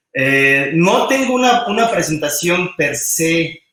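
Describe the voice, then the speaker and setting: A man speaks with a Mexican accent, and audible echo from the room surrounds his voice. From Mexico. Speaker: roboticist. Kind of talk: technical talk. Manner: halting, many repetitions and fillers.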